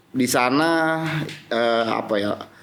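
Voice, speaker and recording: Amid audible room echo, a man speaks at a very slow pace with a medium pitch and ordinary pitch variation. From Jakarta (South Jakarta, Betawi area). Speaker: business association official and company commissioner. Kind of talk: podcast interview. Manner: hesitant, many fillers.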